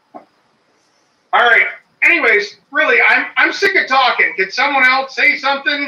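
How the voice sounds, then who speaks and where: A man's raised, projected voice at an extremely high pitch, moderate in pace with ordinary pitch variation, big swings in loudness, long and frequent pauses, and audible room echo. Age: 40s. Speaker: homesteader. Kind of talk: casual chat. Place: home room. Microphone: phone held too close; phone near.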